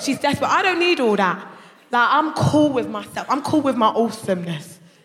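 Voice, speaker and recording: The speaker has a London accent and talks at a fairly quick pace in an animated tone, with very wide pitch swings. Noticeable background noise can be heard. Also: woman. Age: 30s. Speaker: comedian. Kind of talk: stand-up. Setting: stage with audience.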